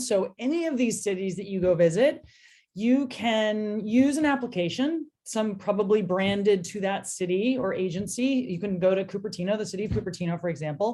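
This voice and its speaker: A woman with a Californian accent, medium in pitch and dark, mellow in tone, somewhat breathy, with lively intonation, a fairly quick pace and hardly any pauses. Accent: Californian American. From US, San Francisco Bay Area. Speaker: transit company partnerships manager. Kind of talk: webinar presentation. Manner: fast.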